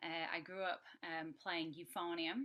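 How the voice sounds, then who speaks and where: A woman speaks with a Yorkshire accent in a fairly low pitch. Her intonation stays fairly even. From Yorkshire, northern England. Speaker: horn player and music educator. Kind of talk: masterclass talk.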